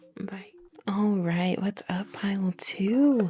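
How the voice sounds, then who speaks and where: Soft-spoken and with lively intonation, a woman talks at a medium pitch over noticeable background noise. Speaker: tarot reader. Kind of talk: tarot reading monologue. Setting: home recording at night. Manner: casual.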